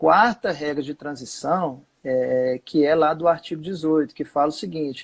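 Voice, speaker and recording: A man with a plain, everyday voice speaks at a fairly slow pace, his pitch fairly high. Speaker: social security lawyer. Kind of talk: live webinar explanation.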